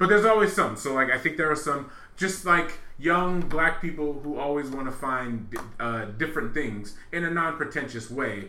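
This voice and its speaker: The speaker has an American accent, a bright, sharp tone and lively intonation. The pace is moderate, and there is audible room echo. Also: man, fairly high pitch for a man. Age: 30s. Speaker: returning podcast guest, film fan. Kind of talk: casual chat.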